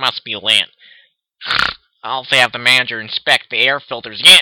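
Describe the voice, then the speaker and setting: A man uses a put-on character voice at a medium pitch. He speaks at a fairly quick pace. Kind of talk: nerdy.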